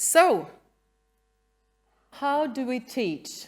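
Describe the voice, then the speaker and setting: A woman speaks with a Norwegian accent and lively intonation. The recording is very clean with a silent background. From Norway. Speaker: museum educator. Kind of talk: conference talk. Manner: halting; reading from a script.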